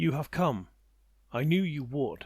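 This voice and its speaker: A booming, put-on character voice from a man, fairly high in pitch, with lively intonation. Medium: read story. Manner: calm, authoritative.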